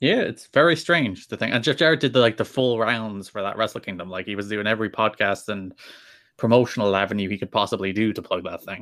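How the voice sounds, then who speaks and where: Very fast and fairly low in pitch, a man speaks with ordinary pitch variation and a slight Irish accent. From Ireland. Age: 20s. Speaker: podcast guest.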